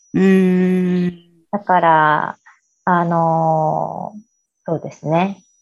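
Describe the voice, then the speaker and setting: Speaking very slowly with long, frequent pauses, a woman keeps a monotone, flat intonation at a fairly low pitch. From Japan (Aichi, Yokohama), teens in Chicago. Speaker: interview guest. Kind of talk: interview.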